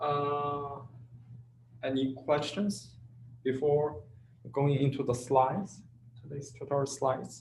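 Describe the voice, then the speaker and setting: Somewhat breathy and fairly high-pitched, a man with a non-native accent speaks very slowly with long, frequent pauses. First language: not English. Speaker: teaching assistant. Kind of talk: tutorial. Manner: halting, many fillers.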